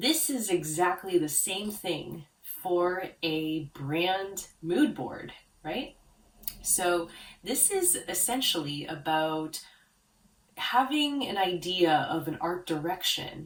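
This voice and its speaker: A woman's fairly low pitch at a very slow pace, with lively intonation and a calm tone. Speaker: branding consultant for art therapists. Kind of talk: tutorial.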